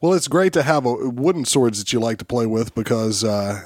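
An unremarkable speaking voice, a man at medium pitch with ordinary pitch variation and a moderate pace, dry and close with no echo. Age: 40s. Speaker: podcast host and martial artist. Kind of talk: casual chat and interview. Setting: studio.

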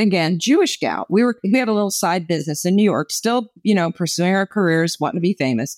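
With an American accent, a woman talks at a moderate pace in a normal speaking voice, her medium pitch moving with lively intonation over a very clean recording with a silent background. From New Jersey. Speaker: author and former actress. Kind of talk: testimony.

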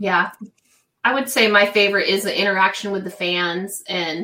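A woman with an ordinary speaking voice talks at a moderate pace in a medium pitch. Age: middle-aged. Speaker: webcam model. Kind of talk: casual interview chat.

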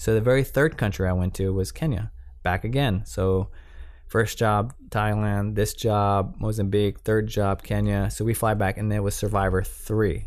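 A man's ordinary speaking voice with very even loudness and fairly even intonation. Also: fairly low pitch for a man, moderate pace. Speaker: cinematographer and camera assistant. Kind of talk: interview.

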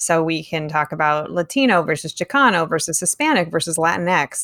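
On a very clean recording with a silent background, a woman with fairly low pitch talks at a fairly quick pace in a normal speaking voice. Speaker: podcast host. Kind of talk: interview.

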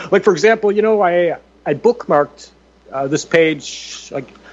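At a fairly slow pace, a man talks with lively intonation in a plain, everyday voice. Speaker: radio talk show host. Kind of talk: talk radio roundtable.

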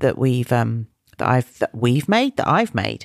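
With a British accent and a very deep, low pitch, a woman speaks at a moderate pace in a dry, close sound with no echo. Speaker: children's wellbeing podcast host. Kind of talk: talk to young listeners.

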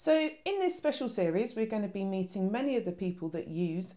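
With a plain, everyday voice, a woman talks at a fairly quick pace and medium pitch, her intonation lively. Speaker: podcast host. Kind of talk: podcast chat.

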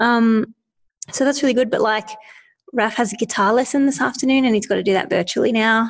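A woman speaks at a fairly quick pace in a fairly high voice. Her tone is somewhat breathy. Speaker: podcast co-host. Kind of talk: casual chat.

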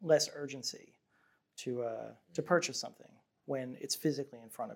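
A man talks in an unremarkable speaking voice. His intonation stays fairly even. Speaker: founder of a fashion brand. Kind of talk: casual chat over drinks.

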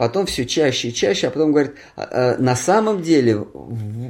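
A man's dark, mellow tone with lively intonation at a fairly slow pace. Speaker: spiritual teacher reading and commenting scripture. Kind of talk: scripture reading with discussion. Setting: at home with a small group.

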